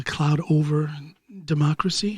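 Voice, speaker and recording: Somewhat breathy, a man with an American accent talks very slowly at a fairly high pitch, his intonation fairly even. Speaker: podcast host. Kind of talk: podcast commentary.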